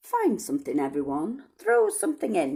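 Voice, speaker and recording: A female-sounding voice in a put-on character voice speaks at a moderate pace with a fairly high pitch. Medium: read story.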